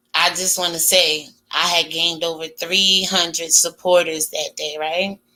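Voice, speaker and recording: Her tone bright and sharp, a woman speaks at a fairly low pitch with monotone, flat intonation. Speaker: YouTube commentary host. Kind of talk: casual commentary monologue. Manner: slow.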